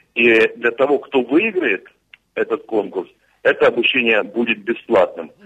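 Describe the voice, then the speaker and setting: A man at a moderate pace. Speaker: regional legislator and contest organiser. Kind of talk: radio interview. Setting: remote call. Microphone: dropped call.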